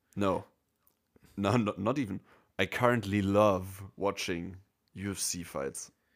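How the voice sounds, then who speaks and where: With a German accent, a man speaks at a fairly low pitch with ordinary pitch variation and long, frequent pauses. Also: fairly slow pace. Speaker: podcast co-host. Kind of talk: casual chat.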